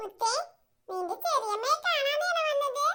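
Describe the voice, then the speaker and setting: A squeaky, cartoonish character voice speaking at a fairly slow pace. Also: female-sounding voice, extremely high pitch for a woman. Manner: brisk, commanding.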